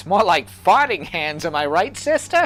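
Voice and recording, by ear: A man's put-on character voice, high in pitch with very wide pitch swings, at a moderate pace over light background noise.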